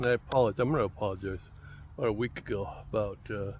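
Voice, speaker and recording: Talking at a very fast pace, a man speaks with an American accent. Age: 70s. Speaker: lifestyle vlogger. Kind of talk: casual monologue to camera. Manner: conversational, hesitant with repetitions.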